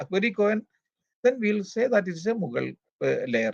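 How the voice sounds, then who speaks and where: A high-pitched man in a dry, close sound with no echo. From Kerala, India. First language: Malayalam. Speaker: archaeologist. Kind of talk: interview. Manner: halting.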